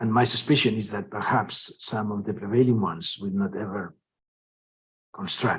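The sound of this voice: With a husky, rough edge and a fairly bright tone, a man with a fairly low voice speaks at a moderate pace with ordinary pitch variation.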